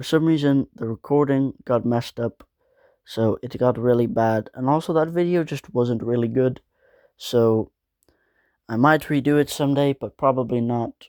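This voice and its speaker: A man at a moderate pace and medium pitch, on a very clean recording with a silent background and a dry, close sound with no echo. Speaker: gaming video creator. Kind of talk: casual vlog talk to camera. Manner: monotone.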